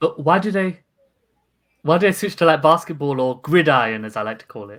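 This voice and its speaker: A man with a London accent speaks at a fairly quick pace and fairly high pitch, with lively intonation. His loudness swings widely, on a very clean recording with a silent background. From London, England. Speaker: podcast host. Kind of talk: casual interview chat.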